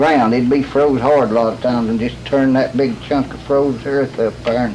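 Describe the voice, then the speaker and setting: A man with a Southern Appalachian accent talks at a moderate pace in a medium pitch. His intonation is monotone and flat, with noticeable background noise behind him. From Western North Carolina. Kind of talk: interview answer.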